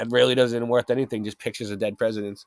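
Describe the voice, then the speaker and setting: On a very clean recording with a silent background, a man of medium pitch with a Boston accent talks very fast in an animated tone. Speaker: live stream host. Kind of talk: casual live stream talk, partly reading aloud.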